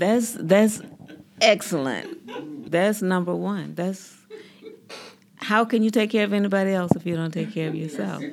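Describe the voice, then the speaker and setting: Someone with a Southern US accent talks at a moderate pace, broken by long, frequent pauses. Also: woman, medium pitch for a woman, ordinary pitch variation. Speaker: podcast host. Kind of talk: group interview.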